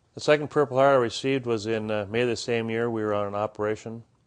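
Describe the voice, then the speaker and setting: Against a quiet background, a man with an Upper Midwest accent talks very fast at a fairly low pitch, his intonation fairly even. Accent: Upper Midwest American. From Minnesota, Minneapolis area. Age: 50s. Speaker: war veteran. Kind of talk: interview testimony.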